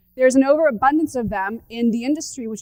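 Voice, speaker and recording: In an animated tone, a woman talks with a fairly high pitch and ordinary pitch variation. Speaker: startup founder and conference speaker. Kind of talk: conference talk. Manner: fast.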